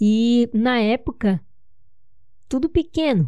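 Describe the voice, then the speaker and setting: A woman speaks very slowly in a fairly high pitch, her tone dark and mellow. The background is quiet. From São Paulo, Brazil. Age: 20s. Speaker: podcaster. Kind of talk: personal storytelling monologue.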